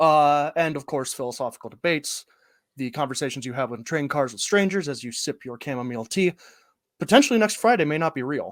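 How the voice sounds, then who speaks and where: Speaking very fast with lively intonation, a man with an American accent and a fairly high pitch comes through on a very clean recording with a silent background. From US Midwest, northwest Ohio. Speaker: improv comedian, co-writer. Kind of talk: improvised mock conference presentation.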